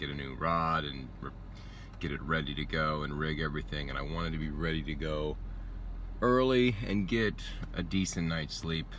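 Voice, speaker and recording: Over light background noise, a man with a very deep, low voice speaks at a moderate pace, leaving long, frequent pauses in a dry sound with no echo. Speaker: fishing vlogger. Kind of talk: casual vlog chat. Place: car. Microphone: phone near.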